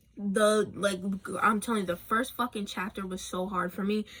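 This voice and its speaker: A woman speaks in an animated tone. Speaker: book vlogger. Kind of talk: casual rant. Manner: fast.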